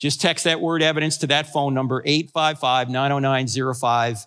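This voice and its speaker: A man with an American accent, fairly high pitch, ordinary pitch variation, a bright, sharp and animated tone, and a fairly quick pace, on a very clean recording with a silent background. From New Jersey. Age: 60s. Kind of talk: sermon.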